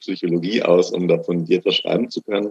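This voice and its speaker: A man with an ordinary speaking voice, fairly low in pitch and fairly quick in pace, in a dry, close sound with no echo. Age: 20s. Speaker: master's graduate in musicology. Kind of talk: interview.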